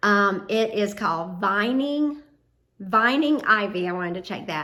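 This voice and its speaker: Bright and sharp in tone, a woman speaks with a Southern US accent at a very slow pace. Audible room echo surrounds her voice. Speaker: home and DIY vlogger. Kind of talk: casual vlog talk to camera. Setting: outdoors on front porch. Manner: casual, with frequent fillers.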